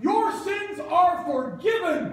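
The speaker does a put-on character voice with lively intonation. The pace is slow, and there is strong room echo.

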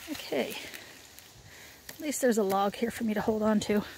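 A woman speaks at a moderate pace. The sound is dry with no echo, and there is light background noise. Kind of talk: casual vlog chat. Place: forest. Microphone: phone near.

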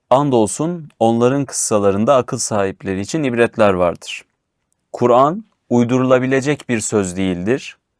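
A man with an ordinary speaking voice talks at medium pitch and a moderate pace with ordinary pitch variation, in a very clean recording with a silent background and a dry, close sound with no echo. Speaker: show host. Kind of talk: religious discussion reading verses aloud.

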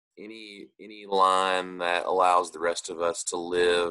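Against a quiet background, a man with a very deep, low pitch speaks in a bright, sharp tone with monotone, flat intonation. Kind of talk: prayer and announcements. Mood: earnest, grateful, prayerful. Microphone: video call.

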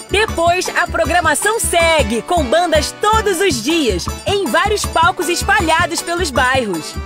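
With clear music in the background and a dry sound with no echo, a woman speaks at a very slow pace in an extremely high voice with lively intonation. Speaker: voice-over announcer. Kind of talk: TV commercial read. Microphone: studio mic.

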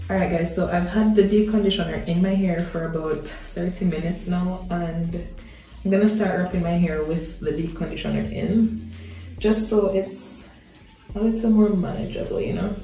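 Amid light background noise and audible room echo, a woman speaks at a moderate pace. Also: fairly even intonation. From Jamaica. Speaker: hair and beauty vlogger. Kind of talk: casual talk to camera. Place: bathroom. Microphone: phone near.

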